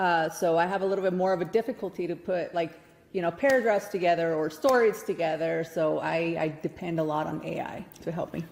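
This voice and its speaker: A woman with a fairly low voice speaks over noticeable background noise. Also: ordinary pitch variation, fairly quick pace. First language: not English. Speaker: newsletter publisher. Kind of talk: casual chat.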